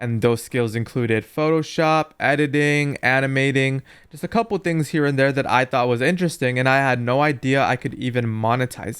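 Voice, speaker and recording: A man with a plain, everyday voice, medium pitch and ordinary pitch variation at a fairly quick pace, on a very clean recording with a silent background. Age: 20s. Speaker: YouTuber and entrepreneur. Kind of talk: casual commentary over gameplay.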